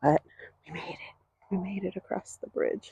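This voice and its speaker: Soft-spoken and fairly slow, a woman talks in a dry, close sound with no echo. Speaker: vlogger. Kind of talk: walking tour vlog. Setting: outdoors.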